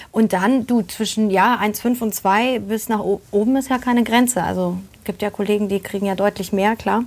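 A woman with an ordinary speaking voice talks at a moderate pace, fairly high in pitch and with fairly even intonation. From Germany, Polish family. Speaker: actress and voice actor. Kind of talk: casual chat. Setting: live video stream.

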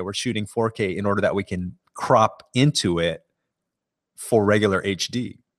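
The sound is dry and close with no echo, in a very clean recording with a silent background. A man speaks with an American accent at a fairly low pitch. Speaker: photography podcast host. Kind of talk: casual news roundup talk. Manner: many filler words and hesitations.

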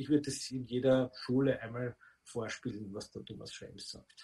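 Here a man with a plain, everyday voice speaks at a medium pitch with fairly even intonation. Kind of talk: interview.

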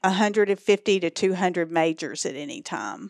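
An American accent, ordinary pitch variation, and a dry, close sound with no echo. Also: woman. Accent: Texan Southern, varies in strength. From East Texas. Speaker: social work professor and school director. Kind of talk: casual interview conversation.

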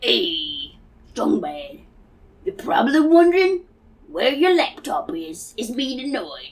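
The voice is a put-on character with a high pitch. Its pace is fairly slow.

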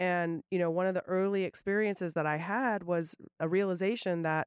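Fairly quick and medium in pitch, a woman with a plain, everyday voice speaks on a very clean recording with a silent background and a dry, close sound with no echo. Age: 40s. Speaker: podcast host. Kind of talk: casual chat.

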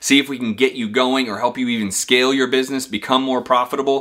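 At a fairly quick pace, a man speaks in a bright, sharp tone. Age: 30s. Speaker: real estate investor and business video host. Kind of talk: casual direct-to-camera talk. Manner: energetic.

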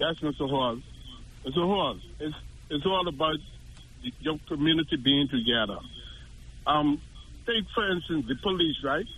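With vocal fry and long, frequent pauses, a man talks at a moderate pace and fairly high pitch, his pitch varying in an ordinary way. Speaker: caller. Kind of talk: call-in comment. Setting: phone call.

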